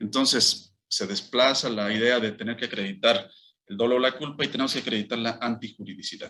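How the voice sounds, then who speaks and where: This man's voice sits at a medium pitch and has a bright, sharp tone. He speaks at a fairly quick pace with fairly even intonation. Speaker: law professor, interviewed guest. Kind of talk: radio interview answer, legal explanation.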